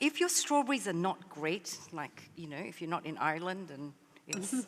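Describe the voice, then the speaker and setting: With an Australian accent, a woman speaks at a moderate pace, her pitch swinging very widely and her loudness varying greatly over noticeable background noise. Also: fairly low pitch for a woman. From Malaysia, later Australia. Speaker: baker and cookbook author. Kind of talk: live cooking demonstration. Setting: stage with audience.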